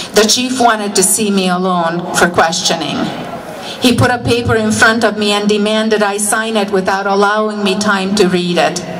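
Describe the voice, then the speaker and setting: A woman speaks at a moderate pace and medium pitch, with fairly even intonation. Audible room echo and noticeable background noise are present. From Hungary. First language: Hungarian. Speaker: political rally speaker. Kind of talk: rally speech.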